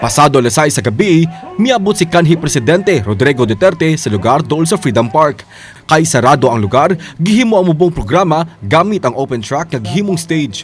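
A man talks at a fairly quick pace with a fairly high pitch and very wide pitch swings. Music plays in the background. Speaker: news reporter. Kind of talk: scripted TV news report narration in Cebuano, read in a steady voice-over. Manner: formal, even-paced, measured newsreader delivery.

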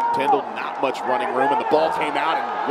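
A man's excited, animated tone at a fairly quick pace, over noticeable background noise. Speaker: play-by-play announcer. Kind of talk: live sports commentary. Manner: fast, excited, animated play-by-play delivery.

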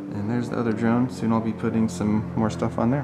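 Over light background noise, a man speaks in a monotone with flat intonation. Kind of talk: casual vlog chat. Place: workshop. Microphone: phone near.

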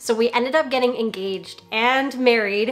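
A woman speaks in a high voice with fairly even intonation, and faint music plays in the background. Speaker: wedding vlogger. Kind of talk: casual vlog chat.

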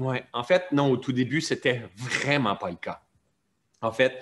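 Here a man talks at a fairly slow pace with fairly even intonation. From Quebec. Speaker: mentor and personal development teacher. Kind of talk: interview, reflective teaching. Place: home room. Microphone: video call.

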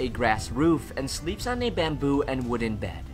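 A man speaks at a moderate pace. Music can be heard behind him. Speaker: travel vlogger. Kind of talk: personal documentary voice-over narration.

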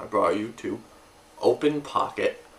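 A male voice with a light layer of noise behind it. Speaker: video blogger. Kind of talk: casual vlog chat. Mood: relaxed and upbeat. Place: home room. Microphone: camera far.

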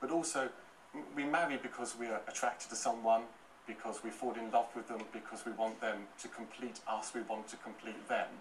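Over light background noise, a man with an unremarkable speaking voice talks at a fairly quick pace. His pitch is medium and his intonation fairly even. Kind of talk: TV panel debate. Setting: TV studio. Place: studio.

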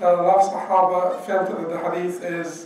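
Light background noise and audible room echo surround a man speaking at a high pitch. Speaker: religious teacher. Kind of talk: lecture. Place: church.

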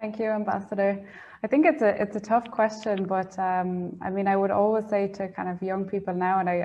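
A woman with an Irish accent, fairly even intonation and a fairly quick pace. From Ireland. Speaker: junior EU diplomat; webinar panelist. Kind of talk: panel talk. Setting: online event. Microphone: earbuds.

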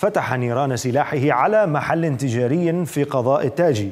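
A man talks at a moderate pace in a fairly high pitch. His is a plain, everyday voice with ordinary pitch variation. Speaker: news anchor. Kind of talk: news reading. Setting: studio.

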